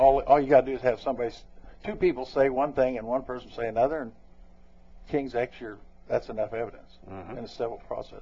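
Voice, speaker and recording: Very fast and somewhat breathy, a man with an American accent speaks at a medium pitch with ordinary pitch variation, big swings in loudness, and long, frequent pauses. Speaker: former sheriff and police officer. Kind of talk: radio interview. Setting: radio studio.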